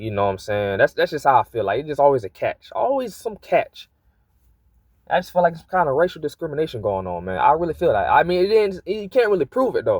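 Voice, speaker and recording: A man talks at a very fast pace. The recording sounds dry and close, with no echo. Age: young. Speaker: vlogger. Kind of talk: casual monologue vent.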